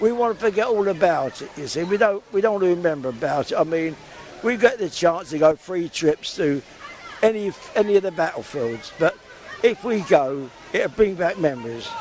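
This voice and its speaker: Crowd noise fills the background as a man with a London accent talks at a high pitch and a moderate pace with lively intonation. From London area (Hounslow). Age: 80s+. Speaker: war veteran. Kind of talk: interview. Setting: outdoors.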